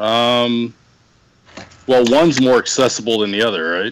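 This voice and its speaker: Speaking at a fairly slow pace, a man with an American accent uses a medium pitch. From Dallas, Texas. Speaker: podcast guest. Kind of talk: casual chat.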